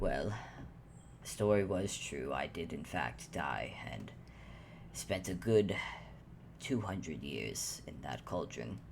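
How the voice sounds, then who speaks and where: A man's put-on character voice, very deep and low in pitch, at a fairly slow pace with long, frequent pauses over clear background noise. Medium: actual play. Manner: measured, formal, self-deprecating.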